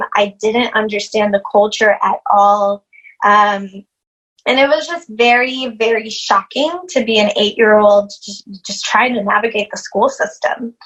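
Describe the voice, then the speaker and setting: Using a Spanish accent, a woman talks at a fairly slow pace with a fairly high pitch and ordinary pitch variation. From Puerto Rico, then US Midwest (Illinois) from age 8. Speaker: yoga instructor and anti-racism educator. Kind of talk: podcast interview. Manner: many filler words (um, uh).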